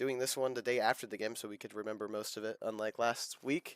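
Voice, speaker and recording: A man speaks at a medium pitch in a monotone, flat intonation. The sound is dry and close, with no echo. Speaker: podcast co-host. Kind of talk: casual chat.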